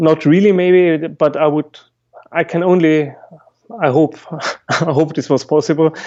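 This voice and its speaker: A man with a non-native accent speaks at a fairly high pitch and fairly slow pace in a monotone, flat way, pausing often and at length. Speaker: musician and Alexander Technique teacher. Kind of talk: podcast interview. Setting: call. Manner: halting.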